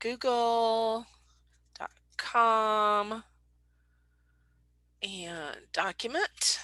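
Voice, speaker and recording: A woman in a Southern US accent, fairly high-pitched and bright and sharp in tone, very slow with long, frequent pauses, in a very clean, silent recording with a dry, close sound and no echo. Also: ordinary pitch variation. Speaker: painter and art business owner. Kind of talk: casual tutorial talk to camera.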